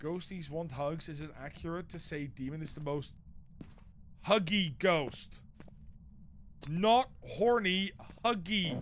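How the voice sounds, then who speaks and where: The speaker goes at a very slow pace, with long, frequent pauses and ordinary pitch variation. Loudness swings widely, and room echo is audible. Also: man, high pitch for a man. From Netherlands. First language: Dutch. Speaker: game streamer. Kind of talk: live gaming stream chat. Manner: animated.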